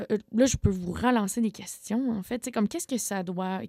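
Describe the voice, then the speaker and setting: A woman's voice has a dark, mellow tone in a dry, close sound with no echo. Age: 20s. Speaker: community organizer, former sect member. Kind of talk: radio interview.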